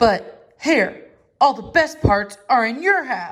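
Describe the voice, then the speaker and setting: A woman's high-pitched, put-on character voice at a very slow pace. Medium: read story. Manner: slow, drowsy.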